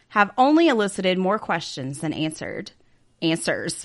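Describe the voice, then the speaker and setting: Against a quiet background, a woman speaks with lively intonation. She has an unremarkable speaking voice pitched fairly low. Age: 40s. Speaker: podcast co-host. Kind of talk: casual chat with read-out case narration.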